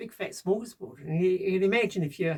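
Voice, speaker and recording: This woman talks at a very fast pace in a fairly low pitch. Her tone is dark and mellow, somewhat breathy. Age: 60s. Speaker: DIY bunker builder vlogger. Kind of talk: casual monologue vlog. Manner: halting, many fillers and repetitions.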